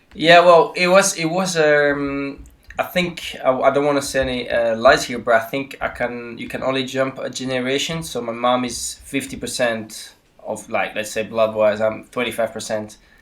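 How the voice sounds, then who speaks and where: Noticeable background noise under moderately paced speech with ordinary pitch variation. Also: man, medium pitch for a man. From Switzerland, Neuchâtel. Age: 30s. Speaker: football goalkeeper. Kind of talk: podcast interview. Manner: halting, many fillers.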